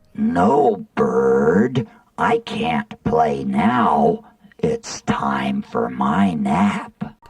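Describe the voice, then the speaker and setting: A woman puts on a growling character voice. She speaks at a very slow pace. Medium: read story. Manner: slow, gentle.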